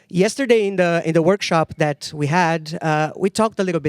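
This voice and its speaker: A man with a Portuguese accent speaks at a fairly quick pace and fairly high pitch, with ordinary pitch variation. The sound is dry and close with no echo, and the recording is very clean with a silent background. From Brazil. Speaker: sound artist and lecturer. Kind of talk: lecture. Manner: halting, with fillers.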